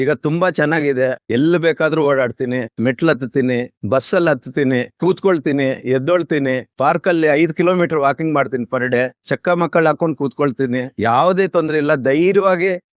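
This man has an ordinary speaking voice, fairly high in pitch with ordinary pitch variation and very even loudness, heard in a dry, close sound with no echo. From Pavagada, Karnataka, India. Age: 60s. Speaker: knee surgery patient. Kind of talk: patient testimonial.

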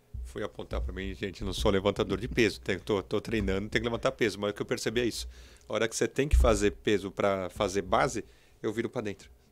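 The pace is very fast, with very wide pitch swings. Vocal fry runs through the speech. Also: man, fairly low pitch for a man. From Brazil. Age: 40s. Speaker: entrepreneur; podcast interviewer. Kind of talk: interview. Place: studio. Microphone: studio mic.

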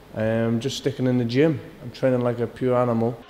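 A man's fairly quick speech over loud background noise. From Scotland. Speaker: professional boxer. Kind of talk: interview answer. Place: gym.

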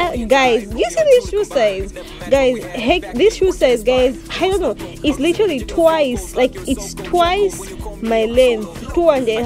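Over clear background music, a woman talks very slowly in a high voice, the sound dry with no echo. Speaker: travel vlogger. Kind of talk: casual vlog chat. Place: tunnel cave. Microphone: phone near.

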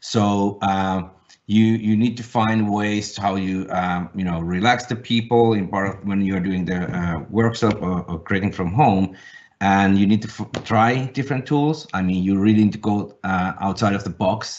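With a Finnish accent, a man speaks at a moderate pace in a fairly low pitch with fairly even intonation. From Finland. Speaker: design agency founder and executive; panelist. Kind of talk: webinar panel discussion. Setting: video call. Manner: halting. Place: home room. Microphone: webcam.

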